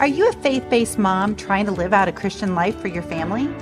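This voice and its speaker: Music runs in the background. A woman talks at a fairly quick pace. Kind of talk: podcast intro.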